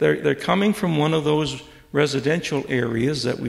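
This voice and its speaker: In an American accent, the speaker uses ordinary pitch variation and vocal fry at a moderate pace. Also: man. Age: 70s. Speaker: retired professor. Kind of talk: lecture. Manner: halting.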